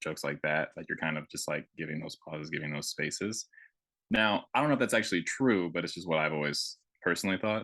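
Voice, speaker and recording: A man's bright, sharp voice with ordinary pitch variation, dry and close with no echo. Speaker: podcast co-host. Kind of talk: casual chat. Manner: fast.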